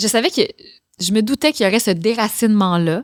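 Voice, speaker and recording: Her intonation is lively and her pace moderate. The woman's recording has a dry, close sound with no echo. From Quebec, Gaspésie (Maria). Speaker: actress and singer-songwriter. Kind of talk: casual interview. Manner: animated.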